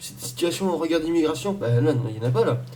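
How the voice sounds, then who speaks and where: There is audible room echo as a man speaks fairly quickly at a fairly high pitch with lively intonation. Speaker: YouTuber. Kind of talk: rant to camera. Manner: fast; halting.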